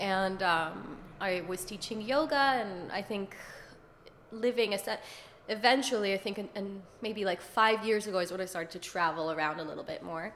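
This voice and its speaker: A woman's normal speaking voice at medium pitch and a moderate pace, with ordinary pitch variation. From Israel, then US from age 10. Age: 30s. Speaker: yoga teacher. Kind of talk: casual interview. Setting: apartment in Dublin.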